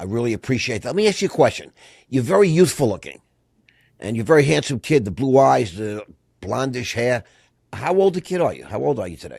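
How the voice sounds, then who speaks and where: Vocal fry runs through this man's very fast speech, pitched medium yet swinging very widely. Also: very clean recording, silent background. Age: 60s. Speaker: podcast host. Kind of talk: casual interview. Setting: studio. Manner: animated.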